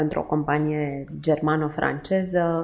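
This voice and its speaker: This woman's voice sits very deep and low. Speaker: charity co-founder. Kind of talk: interview.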